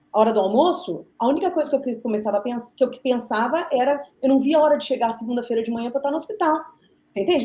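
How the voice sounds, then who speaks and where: Talking at a very fast pace, a woman speaks in a high pitch. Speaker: physiotherapist and researcher. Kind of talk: podcast interview. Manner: halting, many fillers.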